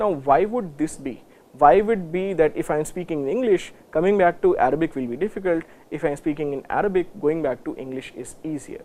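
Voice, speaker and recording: With an Indian accent, a man speaks at a high pitch. His intonation is lively and his pace fairly quick. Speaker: university lecturer. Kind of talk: lecture. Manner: hesitant, many fillers.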